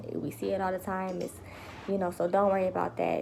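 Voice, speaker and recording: Quiet speech delivered at a very fast pace makes up this clip. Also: woman. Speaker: vlogger. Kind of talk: casual live vlog update. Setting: home livestream. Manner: lowered voice, quiet.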